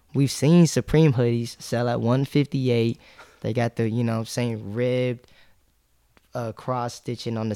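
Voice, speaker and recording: An ordinary speaking voice at a fairly slow pace with fairly even intonation, in a very clean recording with a silent background and a dry, close sound with no echo. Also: man. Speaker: clothing brand founder and sneaker reseller. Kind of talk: casual interview chat.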